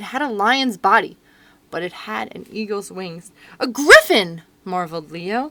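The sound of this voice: With lively intonation, an unforced reading voice carries the words.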